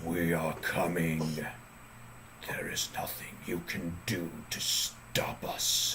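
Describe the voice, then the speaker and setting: A man whispers in a put-on character voice at a very slow pace. Background noise is clearly audible. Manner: eerie, menacing.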